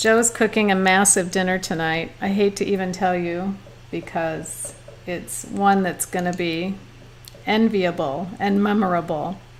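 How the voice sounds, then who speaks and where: Over noticeable background noise, a woman talks at a fairly slow pace in a medium pitch with ordinary pitch variation. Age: 50s. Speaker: watercolor artist and livestream teacher. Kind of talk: casual livestream chat while painting. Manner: animated.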